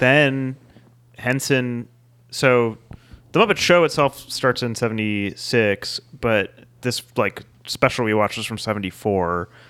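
Recorded very cleanly against a silent background, a man uses a normal speaking voice at a medium pitch. He talks at a fairly slow pace with ordinary pitch variation. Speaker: podcast co-host. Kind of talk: casual chat.

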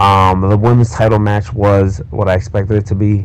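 A man with a fairly low pitch speaks at a moderate pace, with noticeable background noise behind him. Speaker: wrestling podcast host. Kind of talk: recorded intro message.

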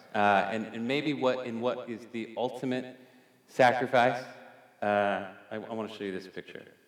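Audible room echo surrounds a man speaking at medium pitch and a fairly slow pace, his intonation fairly even but his loudness swinging widely. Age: 40s. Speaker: artist and designer. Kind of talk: storytelling talk to a church audience.

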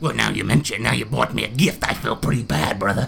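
Amid clear background noise, a man rattles along at a very fast pace in a put-on character voice with a fairly low pitch. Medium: actual play. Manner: casual, blokey, calls people brother and bro.

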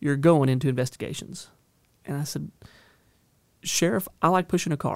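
A man with an American accent, fairly high in pitch, at a fairly quick pace, in dry, close sound with no echo on a very clean recording with a silent background. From Northern California. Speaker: county sheriff. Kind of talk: interview. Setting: studio. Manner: repeats words often, halting starts.

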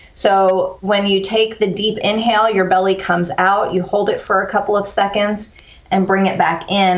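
A woman speaks with an American accent in a monotone, flat way at a moderate pace. Noticeable background noise can be heard. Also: hardly any pauses, very even loudness. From Texas (Corpus Christi), early childhood on US East Coast. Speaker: author and resilience speaker. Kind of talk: interview conversation.

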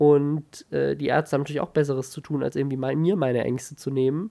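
A fairly high-pitched man's voice, dark and mellow in tone, at a very fast pace. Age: 20s. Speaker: YouTuber and podcaster, new father. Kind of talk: casual chat. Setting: at home.

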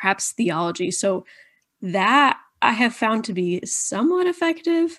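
A woman with an American accent speaks at a fairly slow pace. Her pitch swings very widely, and the background is quiet. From Indiana, US Midwest. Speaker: content creator on deconstruction. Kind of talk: casual interview chat.

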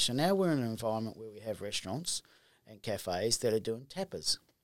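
A man speaks in an Australian accent. His pace is very fast, and his pitch swings very widely. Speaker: distillery co-owner. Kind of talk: casual chat.

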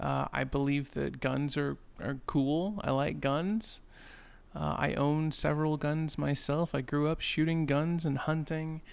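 Using a normal speaking voice, a man talks at a fairly slow pace and a fairly high pitch, with fairly even intonation and very even loudness. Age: 20s. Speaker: podcaster. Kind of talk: casual monologue. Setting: home apartment.

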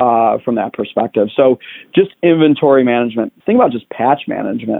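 Here a man talks at a fairly quick pace with an American accent. His pitch is medium, in an ordinary speaking voice. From Chicago, south side. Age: 40s. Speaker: tech industry executive. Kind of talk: interview conversation.

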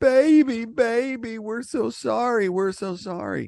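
In a put-on character voice, a man talks at a fairly slow pace with extremely high pitch against a quiet background. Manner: tearful, apologetic.

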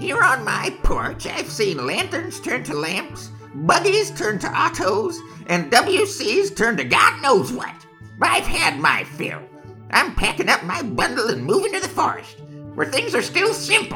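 A man speaks at a fairly slow pace while music plays clearly behind him.

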